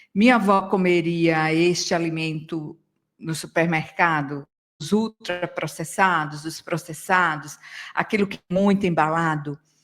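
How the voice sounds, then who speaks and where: With an unremarkable speaking voice, a woman talks at a fairly slow pace, her pitch fairly low and her intonation fairly even. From Brazil, Northeast. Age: 60s. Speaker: yoga teacher and psychologist. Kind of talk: radio interview. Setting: radio studio.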